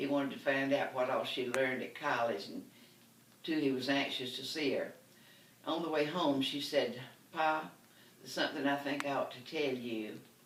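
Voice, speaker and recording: A woman in a Southern US accent has a very deep, low pitch and fairly even intonation, speaking at a moderate pace against noticeable background noise. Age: 80s+. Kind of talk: comedy storytelling.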